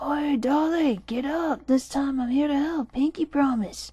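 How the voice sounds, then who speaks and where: In a put-on character voice, a woman talks at a high pitch and a moderate pace. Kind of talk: creepypasta narration. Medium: read story. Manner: casual, slangy.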